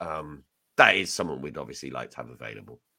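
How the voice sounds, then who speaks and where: Vocal fry marks a man's bright, sharp voice. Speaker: football podcast host. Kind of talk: casual chat.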